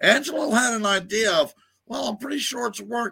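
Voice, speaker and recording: Raising and projecting his voice, a man speaks fairly slowly in a bright, sharp tone. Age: 50s. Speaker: retired wrestler, wrestling commentator. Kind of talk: casual chat.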